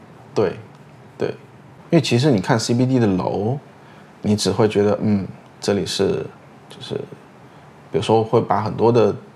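A man speaks with long, frequent pauses while noticeable background noise runs behind him. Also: medium pitch for a man, ordinary pitch variation, moderate pace. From Chengdu, China. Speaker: podcast host. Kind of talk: casual chat.

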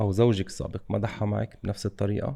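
A man's fairly low voice in a Lebanese accent, dark and mellow in tone. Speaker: podcast host. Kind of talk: interview.

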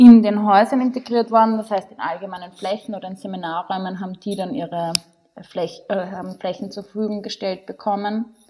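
A woman speaks at a medium pitch and a moderate pace. Hers is a normal speaking voice with fairly even intonation. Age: 30s. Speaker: architect and festival curator. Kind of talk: interview conversation.

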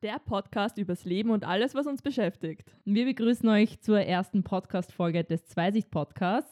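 A woman with a dark, mellow tone speaks at a moderate pace with ordinary pitch variation, the sound dry and close with no echo. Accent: Viennese. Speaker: podcast co-host, student. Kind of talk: casual chat; scripted intro.

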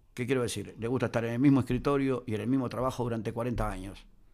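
On a very clean recording with a silent background, a man with a Uruguayan accent speaks at a fairly quick pace with a medium pitch and ordinary pitch variation. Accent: Uruguayan Spanish (rioplatense). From Uruguay, Minas (Lavalleja). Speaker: sports commentator and journalist. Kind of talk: interview conversation.

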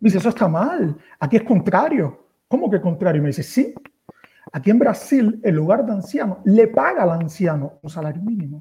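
This man's voice is high-pitched, with lively intonation. He talks at a fairly quick pace. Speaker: caller. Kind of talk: casual chat.

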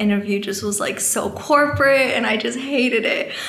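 Noticeable background noise runs behind a woman speaking at a fairly quick pace. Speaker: beauty influencer and brand owner. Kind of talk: casual podcast interview.

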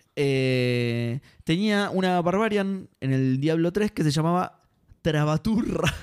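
Speaking very slowly with a Rioplatense accent, a man uses a fairly high pitch and lively intonation while keeping his loudness very even. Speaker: gaming podcast host. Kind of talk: casual chat.

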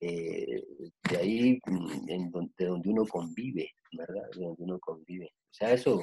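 Recorded dry and close with no echo, a man talks at a fairly slow pace, his loudness swinging widely. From Guatemala. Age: 50s. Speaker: psychologist. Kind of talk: interview. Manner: halting, many fillers.

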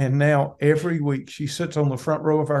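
Against a quiet background, a man speaks at a moderate pace in a plain, everyday voice. His pitch is fairly high. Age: 60s. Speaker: pastor. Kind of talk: interview.

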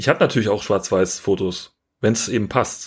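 Using a normal speaking voice, a man keeps a moderate pace and fairly even intonation. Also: very clean recording, silent background. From Rhineland, Germany. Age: 30s. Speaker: photographer. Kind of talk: casual interview.

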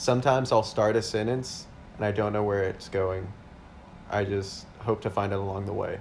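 A man with an American accent and a fairly low pitch, at a moderate pace with fairly even intonation and long, frequent pauses, plus music in the background. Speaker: podcast co-host, radiology scheduler. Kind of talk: casual chat.

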